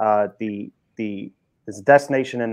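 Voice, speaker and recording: A man speaks in a British accent. His pitch is fairly low, and the background is quiet. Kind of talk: panel discussion answer.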